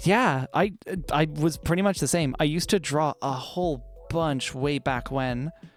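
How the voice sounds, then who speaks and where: Music in the background, a moderate pace and an American accent. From Ireland. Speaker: vtuber streamer. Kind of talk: casual livestream chat while drawing.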